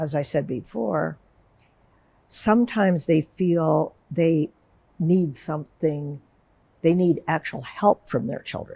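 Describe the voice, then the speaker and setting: With a dark, mellow tone and ordinary pitch variation, the speech moves at a very slow pace broken by long, frequent pauses. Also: woman, very deep, low pitch for a woman. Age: 70s. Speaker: psychotherapist. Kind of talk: interview conversation.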